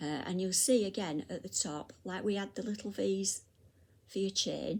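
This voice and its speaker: A woman talks at a moderate pace in a British accent. The recording is very clean, with a silent background. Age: 60s. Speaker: crochet teacher. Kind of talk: tutorial. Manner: halting.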